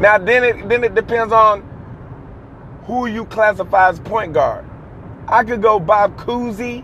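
Over noticeable background noise, a high-pitched man speaks with fairly even intonation and long, frequent pauses. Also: fairly slow pace. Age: 30s. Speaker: sports podcast host. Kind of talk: solo sports commentary monologue.

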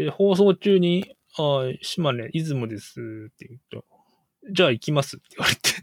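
The sound is dry and close with no echo as a man with a fairly high pitch talks at a moderate pace. His intonation is lively, and his loudness swings widely. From Japan, Shimane Prefecture. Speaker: guest engineer. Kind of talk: casual chat. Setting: video call. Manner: halting.

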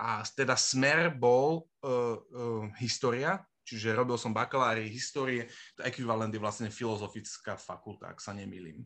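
Against a quiet background, the speech moves at a moderate pace with ordinary pitch variation and big swings in loudness. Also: man, medium pitch for a man. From Bratislava, Slovakia. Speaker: former student, project manager. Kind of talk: casual interview. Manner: halting, many fillers.

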